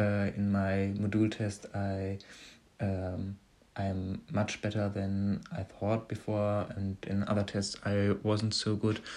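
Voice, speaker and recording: A man with a fairly low pitch speaks at a very slow pace in a monotone, flat intonation over a quiet background. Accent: German. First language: German. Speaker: podcaster practising English. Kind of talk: casual monologue. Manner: halting.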